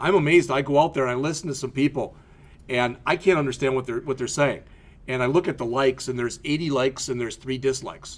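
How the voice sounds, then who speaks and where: With a slight Midwestern US accent, a man speaks at a fairly high pitch with ordinary pitch variation. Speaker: college instructor. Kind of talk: lecture. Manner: casual, conversational with frequent fillers.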